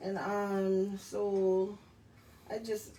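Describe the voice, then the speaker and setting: Someone speaks with an American accent against noticeable background noise and audible room echo. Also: woman. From rural north Florida, Hawthorne. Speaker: singer and poet. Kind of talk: interview. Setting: radio show. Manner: halting, many fillers.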